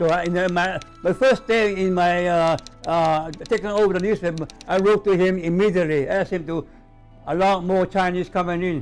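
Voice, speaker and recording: A man with a high voice speaks at a moderate pace with fairly even intonation while music plays in the background. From Hawaii and Hong Kong. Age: 80s+. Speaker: former newspaper editor. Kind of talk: interview answer. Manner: hesitant, repetitive.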